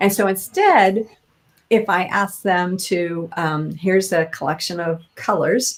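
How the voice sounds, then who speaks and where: Here a woman speaks at a medium pitch. Her intonation is fairly even. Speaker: tapping practitioner and coach. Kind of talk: interview.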